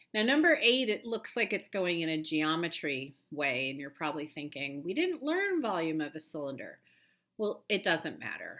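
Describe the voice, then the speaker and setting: With a bright, sharp tone and a fairly low pitch, a woman speaks at a moderate pace through very wide pitch swings, on a very clean recording with a silent background. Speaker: math teacher. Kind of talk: tutorial.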